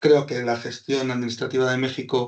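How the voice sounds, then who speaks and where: A man speaks at a moderate pace with a Basque accent. His pitch is medium. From Basque Country, Spain (Hondarribia, Gipuzkoa). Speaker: business consultant. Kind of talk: webinar presentation.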